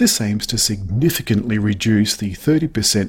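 A man's somewhat breathy voice at a medium pitch. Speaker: car reviewer. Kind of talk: news reading and chat about cars.

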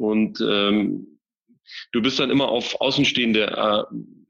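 Monotone, flat intonation over a quiet background. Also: man. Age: 30s. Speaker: managing director of a packaging wholesaler. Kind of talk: interview.

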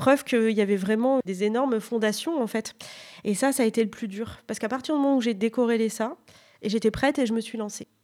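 A woman with a fairly high pitch speaks at a very fast pace and with fairly even intonation. The recording is very clean, with a silent background. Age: 30s. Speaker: author. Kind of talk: interview.

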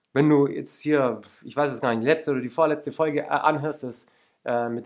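At a fairly quick pace, a man speaks in an animated tone with a fairly high pitch. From Lake Constance area, southern Germany. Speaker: podcast host and life coach. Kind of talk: motivational monologue.

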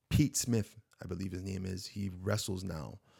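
Here is a man with an ordinary speaking voice, fairly low in pitch. He talks at a moderate pace with ordinary pitch variation. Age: 30s. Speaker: podcast host and aspiring wrestler. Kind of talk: solo podcast monologue. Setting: home studio. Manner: casual, filler-heavy.

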